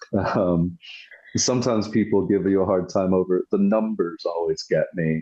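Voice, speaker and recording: A man with a West Coast accent speaks at a moderate pace in a very deep, low voice. The sound is dry and close with no echo, over a quiet background. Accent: American West Coast. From US West Coast, British-born. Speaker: war veteran. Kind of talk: interview. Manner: casual, many fillers.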